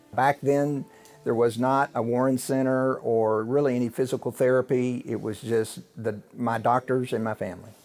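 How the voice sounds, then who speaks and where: In an unremarkable speaking voice, a man with an American accent talks at a moderate pace and medium pitch with fairly even intonation. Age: 60s. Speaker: lawyer and keynote speaker. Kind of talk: interview.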